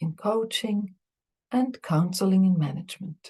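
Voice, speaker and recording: The speaker has a non-native accent and a dark, mellow, somewhat breathy tone. The pace is moderate, and the pitch varies in an ordinary way. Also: woman. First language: not English. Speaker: Buddhist teacher and psychologist. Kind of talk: lecture.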